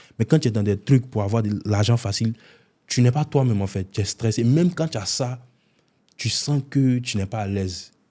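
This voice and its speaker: A man's dark, mellow, somewhat breathy voice at a medium pitch and moderate pace, with ordinary pitch variation, on a very clean recording with a silent background. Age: 20s. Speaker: content creator, prankster. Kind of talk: interview.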